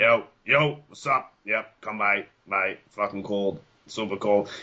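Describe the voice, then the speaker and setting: A man puts on a character voice with a strong Boston accent. He speaks at a fairly slow pace and a fairly low pitch. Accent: thick Boston. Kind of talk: casual, bro-like.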